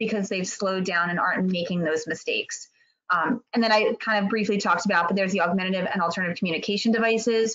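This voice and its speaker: Fairly even intonation from a woman with a medium pitch. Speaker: pediatric therapy clinic representative. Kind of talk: webinar presentation. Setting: video webinar. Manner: fast.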